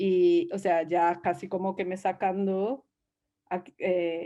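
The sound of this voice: A woman speaks in a dark, mellow tone. Her intonation stays fairly even.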